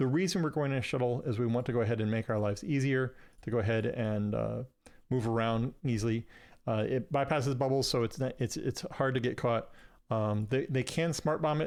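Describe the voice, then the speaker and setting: A man at a medium pitch talks at a fairly quick pace with ordinary pitch variation and very even loudness. The recording is very clean, with a silent background. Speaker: gaming streamer teaching trading. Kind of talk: live gameplay tutorial. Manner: fast; casual with many fillers.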